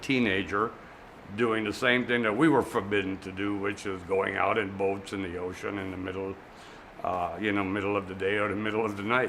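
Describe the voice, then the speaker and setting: A man with an American accent talks at a fairly low pitch with ordinary pitch variation. Audible room echo and noticeable background noise surround him. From US Virgin Islands, St. Thomas (Frenchtown). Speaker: museum manager, community board member. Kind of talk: oral history interview. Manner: hesitant, many fillers.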